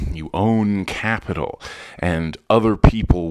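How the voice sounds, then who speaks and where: A man talks at a very slow pace. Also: very clean recording, silent background. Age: 40s. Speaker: podcaster and English teacher. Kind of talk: casual monologue. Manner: halting.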